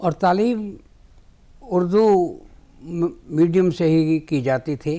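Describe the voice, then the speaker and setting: Pausing long and often, a man speaks with a high pitch, ordinary pitch variation and a dark, mellow tone. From Punjab, Lahore. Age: 80s+. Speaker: writer. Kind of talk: interview. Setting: TV studio.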